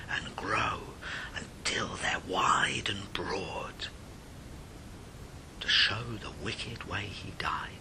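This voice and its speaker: Against noticeable background noise, a man whispers at a very slow pace, with long, frequent pauses. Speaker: storyteller. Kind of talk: ghost story reading.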